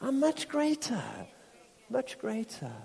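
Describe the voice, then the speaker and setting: Noticeable background noise surrounds a man with an extremely high pitch. He talks at a fairly slow pace with ordinary pitch variation. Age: 60s. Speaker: visiting preacher. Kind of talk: sermon. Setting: church with live congregation.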